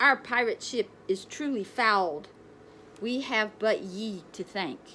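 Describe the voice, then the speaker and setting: Over clear background noise, a woman does a gruff, put-on character voice at a fairly high pitch. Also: fairly slow pace. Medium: read story. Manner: gruff, pirate speech with ye and arr.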